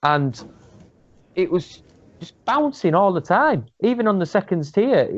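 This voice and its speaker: A man with a Yorkshire accent and very wide pitch swings. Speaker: football fan channel panelist. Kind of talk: casual chat. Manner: animated.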